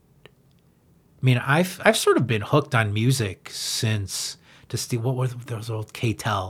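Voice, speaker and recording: Over a very clean recording with a silent background, a man at medium pitch speaks at a very slow pace in a somewhat breathy voice. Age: 50s. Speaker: punk-influenced rock musician. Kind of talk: casual interview.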